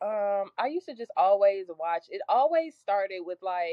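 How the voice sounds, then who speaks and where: A woman at a fairly slow pace, with very wide pitch swings. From US East Coast (Maryland) and Los Angeles. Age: 20s. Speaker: rapper. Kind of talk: casual interview. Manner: animated.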